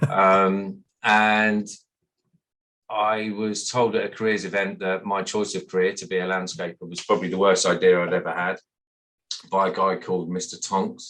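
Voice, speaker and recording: Speaking in a West Midlands accent at a moderate pace, the voice has a bright, sharp tone and monotone, flat intonation. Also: man, fairly low pitch for a man. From West Midlands, England (Sutton Coldfield). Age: 50s. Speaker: landscaper, business owner. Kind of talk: podcast interview.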